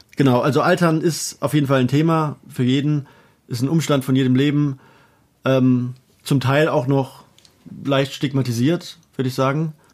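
A man speaks at a moderate pace in a fairly high pitch, with long, frequent pauses. His intonation is flat and monotone, and the recording is very clean with a silent background. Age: 20s. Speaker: podcast co-host. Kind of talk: casual chat. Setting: sister's childhood bedroom at home.

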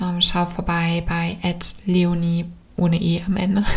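Her voice is fairly low, somewhat breathy, with a gentle, calm tone and flat, monotone intonation. The woman speaks at a very slow pace. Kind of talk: guided meditation. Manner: slow, calm, soothing, with long pauses; soft-spoken, gentle.

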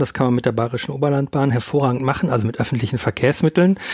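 A man with an unremarkable speaking voice, fairly high pitch and ordinary pitch variation. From Ruhr area, western Germany. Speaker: magazine editor and podcast host. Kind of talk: casual chat.

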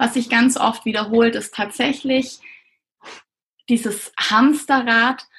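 A woman speaks at a very slow pace. Her pitch is fairly high and her intonation fairly even. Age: 30s. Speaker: pediatrician and coach for doctors. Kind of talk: interview.

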